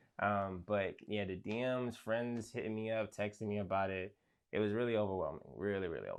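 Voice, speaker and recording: A man's fairly low-pitched voice, with fairly even intonation and big swings in loudness. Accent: American. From New York, Brooklyn. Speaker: rapper and producer. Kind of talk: interview. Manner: hesitant, many fillers.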